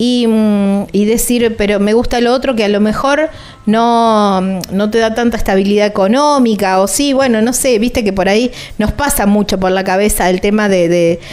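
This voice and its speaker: In an ordinary speaking voice, a woman talks at a moderate pace with a fairly high pitch. Her pitch varies in an ordinary way and her loudness stays very even. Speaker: radio travel show host. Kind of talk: casual interview. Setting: recording on the road.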